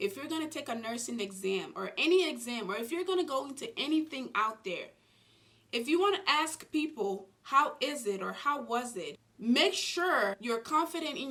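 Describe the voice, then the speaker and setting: A woman speaks at a moderate pace. Her pitch swings very widely. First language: not English. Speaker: nurse and YouTuber. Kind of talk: advice vlog.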